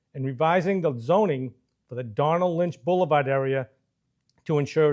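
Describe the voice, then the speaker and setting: On a very clean recording with a silent background, a normal speaking voice with an American accent moves at a moderate pace with lively intonation. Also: man. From Massachusetts, Marlborough. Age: 60s. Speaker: political candidate. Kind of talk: campaign speech. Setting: studio. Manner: formal.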